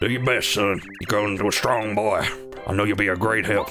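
A man puts on a raspy character voice, fairly low in pitch, in a western US accent. He talks at a fairly quick pace with music in the background. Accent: western cowboy. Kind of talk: reading game dialogue aloud.

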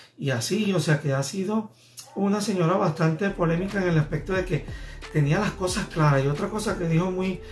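With faint music in the background, a man speaks at a moderate pace in a high pitch with ordinary pitch variation. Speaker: vlogger, celebrity news commentator. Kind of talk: casual talk to camera, vlog commentary. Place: home room.

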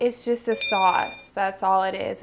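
A woman speaks at a very slow pace with ordinary pitch variation over noticeable background noise. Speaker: cooking show host. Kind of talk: casual cooking vlog chat. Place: kitchen.

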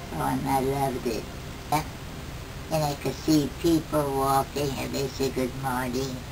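A woman talks at a fairly slow pace with noticeable background noise behind her. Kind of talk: interview answer. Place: home room. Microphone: camera far.

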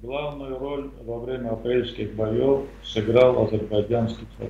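Audible room echo surrounds a man who talks very slowly with hardly any pauses. His loudness swings widely. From Azerbaijan. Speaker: retired army colonel, military analyst; military analyst. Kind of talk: interview. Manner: hesitant, many filler sounds. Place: home room. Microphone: video call.

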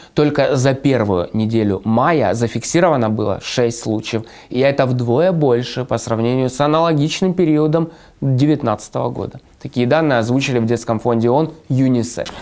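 At a moderate pace and medium pitch, a man speaks with ordinary pitch variation against a quiet background. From Donbas, eastern Ukraine. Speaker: journalist, video blogger. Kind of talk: scripted narration. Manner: formal. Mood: serious, concerned. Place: studio. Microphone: lapel.

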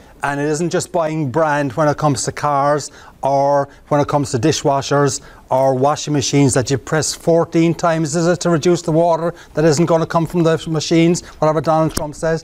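With an Irish accent, a man talks at a fairly quick pace in a fairly high pitch, his intonation fairly even and his loudness very even. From Ireland. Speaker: keynote speaker. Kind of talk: live presentation to a job club. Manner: humorous. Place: meeting room.

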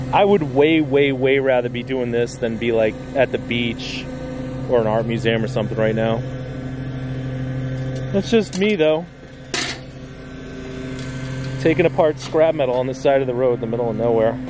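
Long, frequent pauses break up the speech, heard as a dry sound with no echo over noticeable background noise. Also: moderate pace. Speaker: scrap picker vlogger. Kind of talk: casual vlog chat. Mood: relaxed, content. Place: street.

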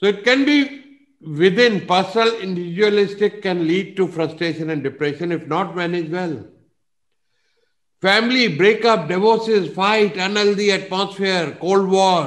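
A man's high-pitched voice with ordinary pitch variation. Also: moderate pace. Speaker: business coach presenter. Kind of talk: lecture. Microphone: video call.

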